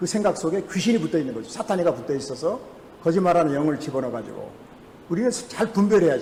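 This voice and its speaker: Delivered at a very fast pace with lively intonation, the speech carries audible room echo and noticeable background noise. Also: man. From Jeju, South Korea. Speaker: pastor. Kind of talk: sermon. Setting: church.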